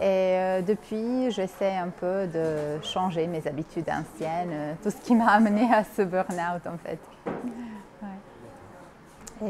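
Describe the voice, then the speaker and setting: Very slow speech from a woman, medium in pitch with ordinary pitch variation. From Bosnia. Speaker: university worker. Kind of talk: interview testimony.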